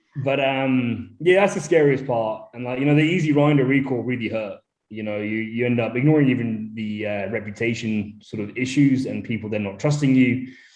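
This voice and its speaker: In a room with audible echo, a man at medium pitch talks fairly quickly with hardly any pauses, big swings in loudness and ordinary pitch variation. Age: 30s. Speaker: brewery founder. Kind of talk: casual chat. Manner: halting.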